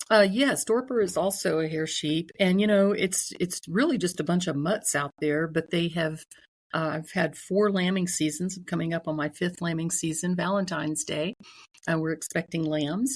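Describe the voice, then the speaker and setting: A woman speaks at a moderate pace in an unremarkable speaking voice. Her pitch is fairly low, with ordinary pitch variation. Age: 60s. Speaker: sheep farmer. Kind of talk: casual interview.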